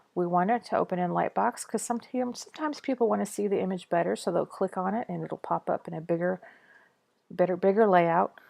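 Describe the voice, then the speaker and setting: A woman talks at a fairly quick pace with a medium pitch. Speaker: web design tutor. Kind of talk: screen-recorded tutorial. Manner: casual, with hesitations and self-corrections; fast.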